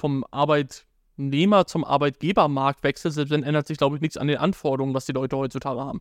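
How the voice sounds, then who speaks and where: A man talks at a very fast pace in a fairly high pitch. The sound is dry and close with no echo, over a quiet background. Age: 20s. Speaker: advertising agency co-founder and podcast co-host. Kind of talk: casual chat. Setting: live stream on YouTube and TikTok.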